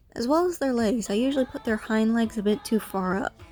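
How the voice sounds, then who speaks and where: A woman talks at a moderate pace with a fairly high pitch and ordinary pitch variation. Music plays in the background. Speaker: art channel creator. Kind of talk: speedpaint commentary. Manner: casual, slightly halting.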